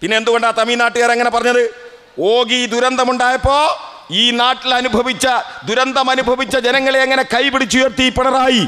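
A man talks in a raised, projected voice at an extremely high pitch, with very even loudness and monotone, flat intonation. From Kerala, Kozhikode district; Kerala, India. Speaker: political speaker; speaker. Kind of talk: political speech at memorial rally. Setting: outdoor public meeting under a tent. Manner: oratorical, rhetorical questions to audience. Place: stage. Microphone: podium.

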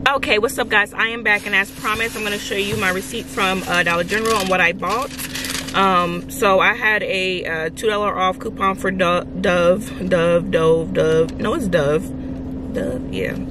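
Recorded with a dry sound with no echo, a woman speaks at a moderate pace. Noticeable background noise is present. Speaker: couponing vlogger. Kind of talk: casual vlog chat. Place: car. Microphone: phone near.

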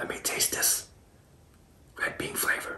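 The voice is a whisper. It moves at a fairly slow pace. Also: man. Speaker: food ASMR creator. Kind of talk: ASMR eating video talk. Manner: whispered. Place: kitchen.

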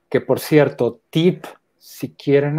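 A man speaks with a French accent at a very slow pace. His tone is dark and mellow against a quiet background. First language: French (speaking Spanish). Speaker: theatre artist and academic; interviewee. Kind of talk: interview. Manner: halting, with restarts. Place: home room. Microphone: earbuds.

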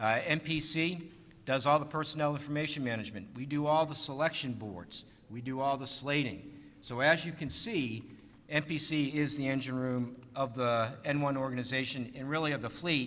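The voice has a bright, sharp tone and an American accent. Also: man, fairly high pitch for a man, ordinary pitch variation. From US Northeast, Boston. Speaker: navy admiral, personnel commander; panelist. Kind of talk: conference panel talk. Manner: fast. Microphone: podium.

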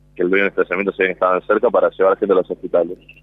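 A man's voice with a Rioplatense accent. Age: 20s. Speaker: disaster survivor. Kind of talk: testimony. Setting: outdoors at a memorial event outside a nightclub. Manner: halting.

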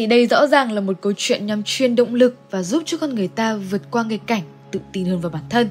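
This woman talks at a fairly quick pace with a fairly high pitch. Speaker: narrator. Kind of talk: game lore analysis narration.

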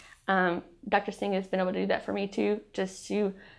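A woman's voice with vocal fry, a moderate pace and a quiet background. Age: 30s. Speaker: cancer patient. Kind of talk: testimony. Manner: halting, many filler ums. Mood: grateful, emotional. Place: studio. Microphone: lapel.

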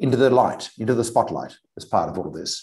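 A man speaks with a dark, mellow tone. The background is quiet. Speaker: webinar moderator. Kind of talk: panel discussion. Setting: video call. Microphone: video call.

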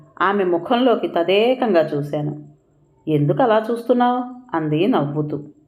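Lively intonation over plain reading aloud

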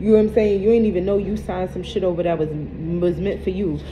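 Against noticeable background noise, a woman talks at a very fast pace with fairly even intonation. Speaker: tarot card reader. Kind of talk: casual reading commentary to viewers. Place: home room. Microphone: phone near.

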